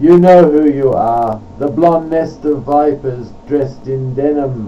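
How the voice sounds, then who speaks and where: Against noticeable background noise, a man with a fairly high voice speaks very slowly. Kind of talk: poetry reading.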